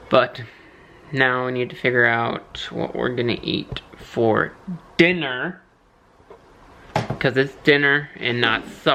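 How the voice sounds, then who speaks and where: Long, frequent pauses interrupt speech delivered at a very slow pace. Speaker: host's fiance, podcast guest. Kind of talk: casual chat. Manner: playful.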